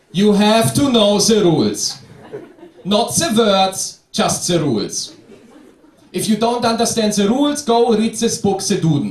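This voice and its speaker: With a German accent, a man speaks in a high pitch at a fairly slow pace. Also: ordinary pitch variation. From Germany. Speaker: comedian. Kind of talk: stand-up.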